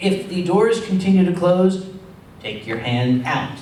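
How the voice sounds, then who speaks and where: A man with an American accent speaks fairly slowly in a high pitch and lively intonation, with noticeable background noise and audible room echo. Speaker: convention organizer. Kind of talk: convention panel talk.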